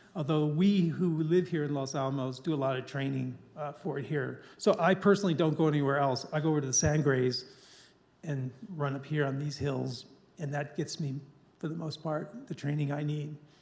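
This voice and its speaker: A man talks at a fairly quick pace with fairly even intonation. His voice is fairly high in pitch and somewhat breathy. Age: 60s. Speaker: ultramarathon runner. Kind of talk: public talk with Q&A.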